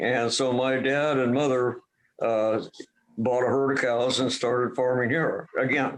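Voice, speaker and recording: With an American accent, a man talks at a fairly slow pace in a medium pitch, his intonation monotone and flat and his loudness very even. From Duvall, Washington, US Pacific Northwest. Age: 70s. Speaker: retired dairy farmer. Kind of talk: oral history interview. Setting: video call. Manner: halting.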